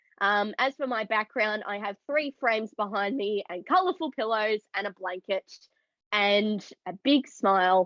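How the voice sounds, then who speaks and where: Someone with an Australian accent talks at a moderate pace with ordinary pitch variation. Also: woman. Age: 20s. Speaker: neurodiversity advocate, event producer. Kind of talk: panel discussion.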